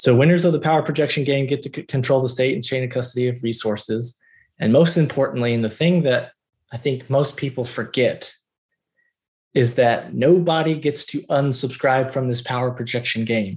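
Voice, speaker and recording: Over a quiet background, a man with an American accent speaks at a moderate pace and medium pitch, somewhat breathy, with ordinary pitch variation. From US South, Georgia. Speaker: military officer and researcher. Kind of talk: long-form interview.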